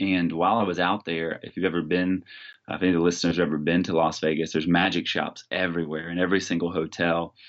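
A man with a Texan accent speaks very fast in a very deep, low voice. His intonation is monotone and flat, and the background is quiet. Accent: Texan American. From Texas. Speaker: youth pastor and illusionist. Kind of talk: interview conversation.

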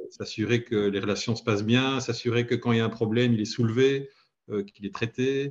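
A man's monotone, flat intonation at a fairly quick pace. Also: medium pitch for a man. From Belgium. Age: 40s. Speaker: head of IT. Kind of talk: interview. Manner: hesitant, many fillers.

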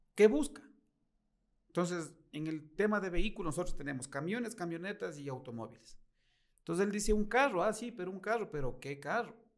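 With very wide pitch swings and big swings in loudness, a man talks at a high pitch. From Ecuador, Latacunga. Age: 40s. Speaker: car salesman. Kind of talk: interview.

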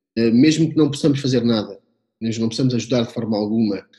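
Somewhat breathy and dark, mellow in tone, a man's voice moves at a very fast pace. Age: 30s. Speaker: communication consultant and storyteller. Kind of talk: interview conversation. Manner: hesitant with many repetitions.

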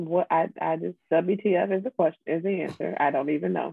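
A soft-spoken woman's voice, fairly low in pitch. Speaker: podcast co-host. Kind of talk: casual chat. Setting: home recording with headset.

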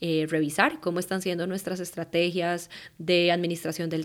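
A woman speaks in a fairly low, flat monotone on a very clean recording with a silent background. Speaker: life coach and meditation teacher. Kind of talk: solo podcast monologue.

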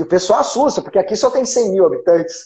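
A man is speaking. His voice is high-pitched. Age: 40s. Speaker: lawyer and law professor. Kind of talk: interview. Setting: at home, remote call.

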